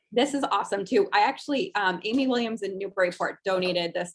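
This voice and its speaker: At a fairly quick pace, a woman with a normal speaking voice talks at medium pitch with ordinary pitch variation. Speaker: rescue charity staffer co-hosting the online auction. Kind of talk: casual conversational auction item description.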